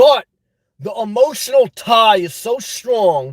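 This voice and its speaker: A man speaks in an intense tone at a high pitch with lively intonation. The sound is dry and close, with no echo. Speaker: YouTube live streamer giving advice. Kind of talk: live stream advice chat. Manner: loud.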